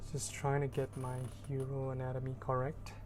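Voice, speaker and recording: Over music in the background, a woman talks at a moderate pace in a very deep, low pitch. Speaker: artist narrating sketchbook tour. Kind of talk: voiceover narration. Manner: monotone, droning; laid back, relaxed.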